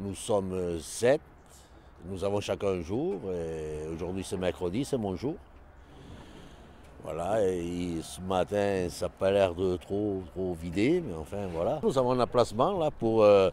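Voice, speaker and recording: Very slowly and with long, frequent pauses, a man speaks in a very deep, low voice with a dark, mellow tone. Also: ordinary pitch variation. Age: 60s. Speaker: scrap metal collector. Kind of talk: interview.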